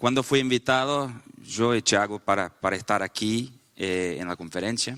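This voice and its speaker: A man with a Portuguese accent talks at a moderate pace in a medium pitch, with a bright, sharp tone and ordinary pitch variation. The recording is very clean and dry, close with no echo, over a silent background. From Brazil. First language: Portuguese (speaking Spanish). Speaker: panelist at a faith and politics summit. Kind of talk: panel talk with live interpretation. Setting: conference panel. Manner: halting, with false starts.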